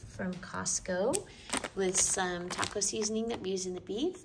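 Over noticeable background noise, a woman talks at a fairly slow pace with ordinary pitch variation. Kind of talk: casual vlog chat. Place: home room. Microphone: phone near.

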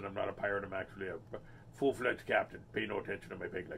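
A man uses a put-on character voice at a fairly low pitch and a very fast pace. Clear background noise is present. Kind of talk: pirate talk. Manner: playful.

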